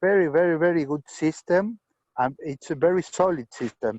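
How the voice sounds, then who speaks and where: A man speaks at a fairly slow pace with a high-pitched voice. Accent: non-native. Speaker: hobbyist robot tractor builder. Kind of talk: video call meeting. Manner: halting.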